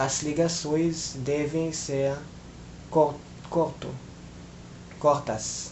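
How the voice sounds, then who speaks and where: At a very slow pace with long, frequent pauses, a man speaks in a fairly high pitch and monotone, flat intonation, with audible room echo. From Philippines. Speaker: language learner vlogger. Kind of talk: casual monologue vlog. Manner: hesitant, many filler sounds.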